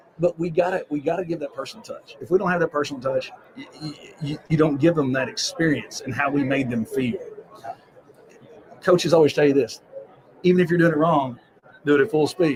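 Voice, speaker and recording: A man speaks with a Southern US accent and ordinary pitch variation. Long, frequent pauses break up his speech, and background noise is noticeable. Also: fairly high pitch for a man, fairly quick pace. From US South. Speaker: finance industry professional. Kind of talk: casual interview chat. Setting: trade show floor. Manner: animated.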